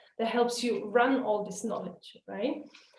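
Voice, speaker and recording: Her high-pitched voice moves at a moderate pace with fairly even intonation. Audible room echo surrounds the woman. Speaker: webinar trainer. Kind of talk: webinar lecture.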